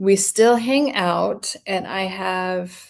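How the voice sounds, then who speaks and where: Her voice is medium in pitch. It belongs to a woman. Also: very clean recording, silent background. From Denmark. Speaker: psychology content creator, mental health coach. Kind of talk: live stream Q&A, answering comments. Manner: casual, with many fillers and restarts.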